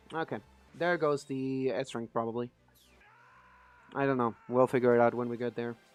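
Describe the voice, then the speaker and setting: Pausing long and often, a man at medium pitch speaks at a moderate pace with fairly even intonation while music plays in the background. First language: Spanish. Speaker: gaming streamer. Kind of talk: live gameplay stream chat. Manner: a little quiet while focusing.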